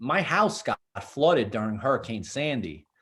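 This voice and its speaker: A man with a strong Brooklyn accent speaks at a fairly high pitch. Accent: thick Brooklyn. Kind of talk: casual interview conversation.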